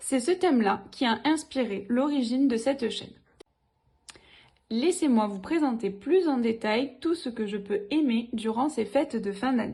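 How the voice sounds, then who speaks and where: A woman with a southern French accent, fairly high in pitch with a dark, mellow tone, lively intonation and a very slow pace. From southern France. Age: 20s. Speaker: DIY YouTuber, teacher. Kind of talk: channel introduction video.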